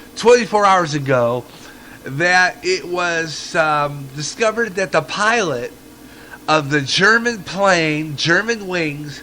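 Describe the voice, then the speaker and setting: A man speaks at a very slow pace in a high pitch with lively intonation. Background noise is noticeable. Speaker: internet radio host. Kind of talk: radio news and comment. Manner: casual, conversational.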